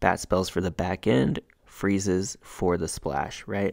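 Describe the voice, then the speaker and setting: A man's very deep, low voice with vocal fry at a fairly slow pace, on a very clean recording with a silent background. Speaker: gaming youtuber. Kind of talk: gameplay commentary.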